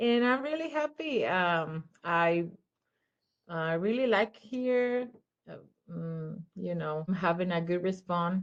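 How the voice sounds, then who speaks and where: Using lively intonation, a woman with a Spanish accent speaks at a very slow pace and medium pitch. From Mexico. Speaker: children's photographer. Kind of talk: interview. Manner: halting.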